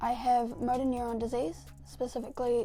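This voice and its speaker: Against noticeable background noise, a woman speaks in a New Zealand accent. Her pitch is high and her pace fairly quick. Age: 20s. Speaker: YouTuber. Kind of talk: casual vlog. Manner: sometimes quiet.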